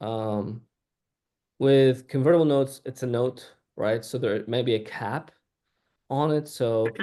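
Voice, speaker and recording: Speech unfolds at a fairly slow pace. Its tone is dark and mellow. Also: man. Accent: non-native. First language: not English. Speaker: startup CEO. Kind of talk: panel discussion.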